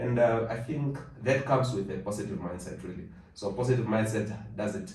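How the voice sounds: Over audible room echo, a man with a fairly low pitch and a slightly mellow tone speaks at a fairly quick pace with ordinary pitch variation.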